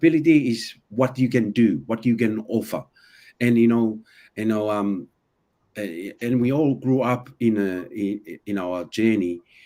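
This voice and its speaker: This man talks at a fairly slow pace in a medium pitch with ordinary pitch variation and a dark, mellow tone, on a very clean recording with a silent background. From an island, non-native English region. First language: not English. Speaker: personal development guest. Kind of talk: casual podcast conversation. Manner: halting, many repetitions.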